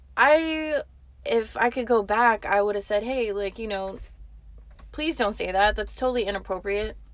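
Speaking at a moderate pace with a fairly high pitch and ordinary pitch variation, a woman sounds animated in a very clean recording with a silent background. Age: 20s. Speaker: podcast host, waitress. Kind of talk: casual monologue.

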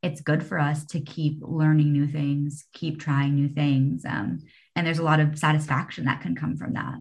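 A somewhat breathy woman's voice, very deep and low in pitch. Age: 20s. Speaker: podcast host. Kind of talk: interview.

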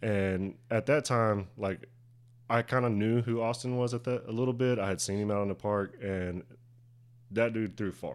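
This man speaks with an American accent at a medium pitch, using fairly even intonation and a moderate pace. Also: very clean recording, silent background. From Durant, Oklahoma. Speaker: disc golf club president. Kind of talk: casual interview. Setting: studio.

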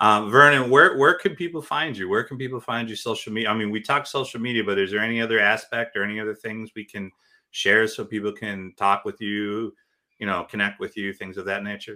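This man has an unremarkable speaking voice, pitched fairly low with ordinary variation. His pace is fairly quick. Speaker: podcast host. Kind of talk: casual interview chat.

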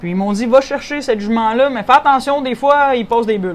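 A woman speaks in a normal speaking voice. She keeps a moderate pace. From Quebec, Saint-Hyacinthe region. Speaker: rancher and horse competitor. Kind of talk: interview.

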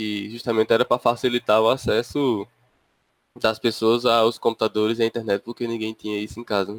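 A man talks at a fairly quick pace in a medium pitch, his delivery flat and monotone. His loudness swings a lot, and the sound is dry and close with no echo. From interior of Paraíba, Brazil. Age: 20s. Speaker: podcast co-host, software engineering master's student. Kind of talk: casual chat.

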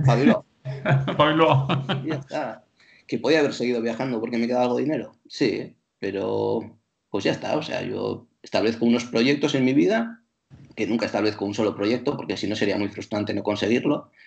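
Talking at a fairly quick pace, a man with a medium-pitched voice and vocal fry shows ordinary pitch variation. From Bilbao, Basque Country, Spain. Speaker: traveller and teacher. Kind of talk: casual chat.

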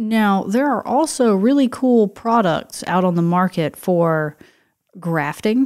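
With an American accent, a woman at medium pitch speaks at a very slow pace, her intonation lively and her loudness very even. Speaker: podcast co-host. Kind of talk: casual chat.

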